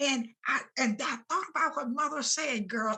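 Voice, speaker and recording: A woman with an American accent speaks in a raised, projected voice with lively intonation. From US South. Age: 80s+. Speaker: retired nurse and school integration pioneer. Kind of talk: interview. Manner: animated.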